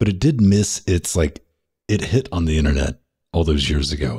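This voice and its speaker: Against a quiet background, a man talks at a fairly quick pace in a very deep, low pitch, his tone dark and mellow, somewhat breathy, with lively intonation. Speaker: gaming podcast host; podcast co-host. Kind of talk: casual chat. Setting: studio. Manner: animated, joking. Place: studio. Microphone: studio mic.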